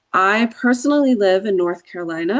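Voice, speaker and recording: Medium-pitched female voice with an American accent. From Georgia, US South. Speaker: attorney. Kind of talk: workshop presentation.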